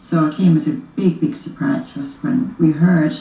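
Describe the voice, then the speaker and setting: A woman speaks in an Irish accent at a moderate pace. There is audible room echo and noticeable background noise. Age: 50s. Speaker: murder victim's widow. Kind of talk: interview testimony.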